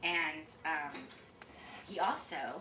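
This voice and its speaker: Over noticeable background noise and audible room echo, a woman with an American accent speaks loudly. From South Africa and US. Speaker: wedding guest giving a toast. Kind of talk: toast speech. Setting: rehearsal dinner with audience. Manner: loud and talkative; halting.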